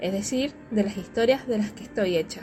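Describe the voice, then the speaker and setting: A woman speaks with lively intonation and a fairly high pitch, in a strong Argentine Litoral accent. Noticeable background noise runs behind her. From Argentina, Reconquista, northern Santa Fe (Litoral). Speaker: podcaster and literature teacher. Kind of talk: casual podcast monologue. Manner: fast; hesitant with fillers.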